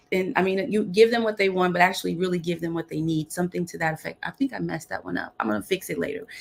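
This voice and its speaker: A woman's very fast speech at a fairly low pitch, with vocal fry and lively intonation. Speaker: business owner, leadership coach. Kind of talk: casual chat. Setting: video call. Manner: animated.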